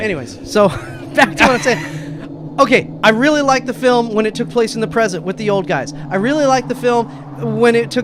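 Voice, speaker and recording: Pitch leaps around very widely as a man speaks fairly quickly. Some clear background noise sits behind him. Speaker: radio show co-host. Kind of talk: casual radio movie review debate.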